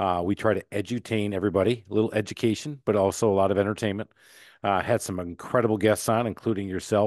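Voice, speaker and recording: Very fast speech comes from a man with a fairly low pitch. The sound is dry and close with no echo, over a quiet background. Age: 50s. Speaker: entrepreneur and podcast host. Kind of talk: interview conversation. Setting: podcast interview. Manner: animated.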